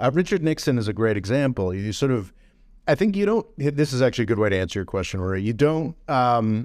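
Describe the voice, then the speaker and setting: On a very clean recording with a silent background, a man with an American accent speaks very fast at a medium pitch with lively intonation. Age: 40s. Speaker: podcast host. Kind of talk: casual chat.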